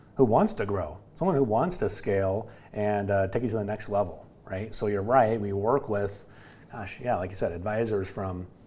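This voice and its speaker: Audible room echo surrounds a man whose dark, mellow tone sits at a fairly low pitch, moving at a moderate pace with ordinary pitch variation. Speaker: business development director at a financial services firm. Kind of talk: podcast interview. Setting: studio. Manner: loud; animated.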